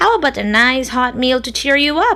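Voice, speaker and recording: A woman uses a put-on character voice, husky and high-pitched. She moves at a moderate pace. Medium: read story. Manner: casual, breezy.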